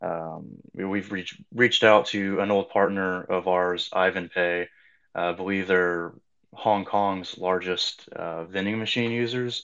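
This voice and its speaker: This man has a normal speaking voice, fairly low in pitch, with fairly even intonation. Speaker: cryptocurrency project representative. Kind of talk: explanatory panel discussion about crypto. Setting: Twitter Spaces online audio.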